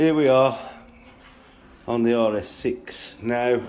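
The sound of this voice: At a very slow pace, a man talks in a medium pitch with a slightly mellow tone and ordinary pitch variation.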